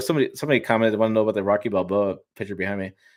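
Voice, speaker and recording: Mumbling at a very fast pace, a man talks with a Michigan accent. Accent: US Midwest (Michigan). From Michigan, Detroit. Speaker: automotive YouTuber and journalist. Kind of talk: casual interview on live stream. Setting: home studio, live stream video call.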